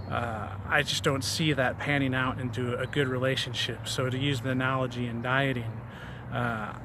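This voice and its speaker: Audible room echo and noticeable background noise surround a man at a medium pitch. He talks at a moderate pace in a monotone, flat intonation. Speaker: fitness vlogger. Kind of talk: casual vlog monologue. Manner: hesitant, many fillers and repetitions; stumbles over words.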